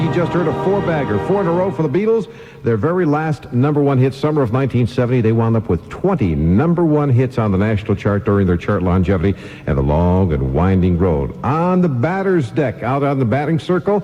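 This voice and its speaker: A man speaks fairly quickly at medium pitch with hardly any pauses and very wide pitch swings. His loudness stays very even over noticeable background noise. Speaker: radio DJ. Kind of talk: oldies radio DJ talk.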